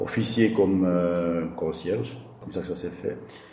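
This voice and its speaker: Over noticeable background noise and audible room echo, a man speaks fairly slowly in a very deep, low pitch. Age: 50s. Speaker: school caretaker. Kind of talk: interview. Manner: halting.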